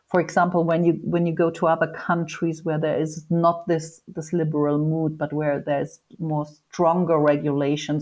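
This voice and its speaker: Speaking at a moderate pace with a German accent, the voice stays monotone and flat, on a very clean recording with a silent background. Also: woman. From northern Germany. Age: 50s. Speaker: sexologist and foundation head. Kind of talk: interview.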